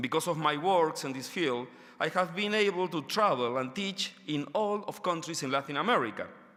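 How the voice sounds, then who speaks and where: With a non-native accent, a man speaks at a moderate pace in a high, bright and sharp voice with lively intonation. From Argentina. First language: Spanish. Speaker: education researcher. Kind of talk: conference lecture. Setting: stage with audience. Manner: halting, many fillers; reading from paper.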